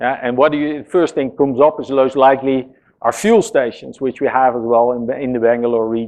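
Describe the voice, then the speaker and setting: The man talks at a moderate pace with ordinary pitch variation. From Netherlands. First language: Dutch. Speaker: software engineering executive. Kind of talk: conference talk. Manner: casual, hesitant with fillers.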